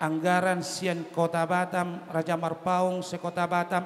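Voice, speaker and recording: Fairly slow in pace, a man speaks at a high pitch. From Batak village, North Sumatra. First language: Batak (speaking Indonesian). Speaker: clan association chairman giving wedding speech. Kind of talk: ceremonial speech.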